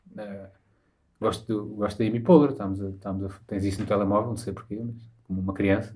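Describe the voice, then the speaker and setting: Here a man talks at a fairly quick pace, sounding somewhat breathy. Audible room echo surrounds his voice. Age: 30s. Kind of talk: casual chat.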